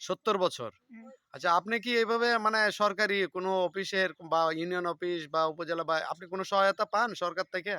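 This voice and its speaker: Raised and projected, a man's high voice has a bright, sharp tone in a dry, close sound with no echo. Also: ordinary pitch variation. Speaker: village video blogger interviewing locals. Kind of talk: casual interview.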